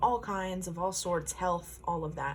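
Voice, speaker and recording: This woman's voice is somewhat breathy and fairly low in pitch. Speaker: tarot card reader. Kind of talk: pick-a-card tarot reading. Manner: slow.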